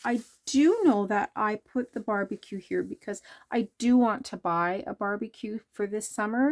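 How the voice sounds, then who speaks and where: In a very clean recording with a silent background and a dry, close sound with no echo, a woman talks at a fairly slow pace with a fairly high pitch and ordinary pitch variation. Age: 60s. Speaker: junk journal crafter, YouTuber. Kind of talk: casual chat while showing a craft journal. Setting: home basement craft room. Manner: casual, hesitant with many fillers.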